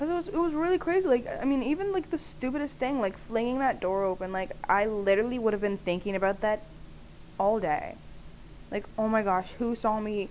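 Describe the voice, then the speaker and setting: Loud and at a fairly quick pace, a woman speaks with a fairly high pitch. Her pitch swings are very wide. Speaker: podcast host. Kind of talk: casual solo monologue. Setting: home recording, staticky audio. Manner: animated, laughing often.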